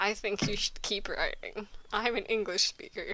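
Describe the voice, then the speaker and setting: A woman talks at a very slow pace while noticeable background noise carries on. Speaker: fanfiction reader, channel host. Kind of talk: casual chat.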